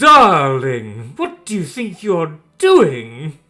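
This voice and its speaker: This is a put-on character voice with a theatrical tone. It sits at a middle pitch and moves at a very slow pace. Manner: flamboyant, theatrical.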